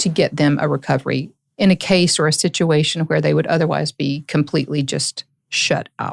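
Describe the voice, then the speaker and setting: Fairly even intonation and a moderate pace mark this speech in a Southern accent, heard in a dry, close sound with no echo. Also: woman. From US South, Tennessee (Hancock County). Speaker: lawyer, court-appointed receiver. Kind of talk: podcast interview.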